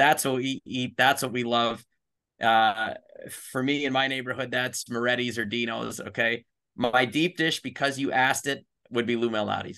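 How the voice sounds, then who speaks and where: In an American accent, a man with a bright, sharp tone and medium pitch talks at a moderate pace with fairly even intonation against a quiet background. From US Midwest, Chicago. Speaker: hockey league executive. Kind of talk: interview.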